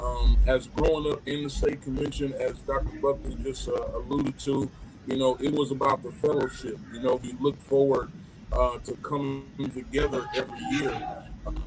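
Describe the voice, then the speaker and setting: A man keeps a moderate pace while music plays in the background. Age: 40s. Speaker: pastor. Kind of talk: panel discussion.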